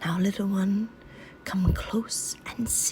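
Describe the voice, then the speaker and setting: A woman whispers in a put-on character voice. Her pace is very slow. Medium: read story. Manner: gentle, soothing.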